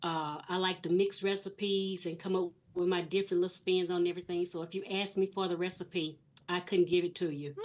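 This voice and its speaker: Flat, monotone speech from a woman with a Texan accent, at a fairly quick pace, with noticeable background noise. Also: medium pitch for a woman. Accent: Southern US, Texan. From East Texas. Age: 60s. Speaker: guest, retired banker. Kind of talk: interview. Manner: hesitant.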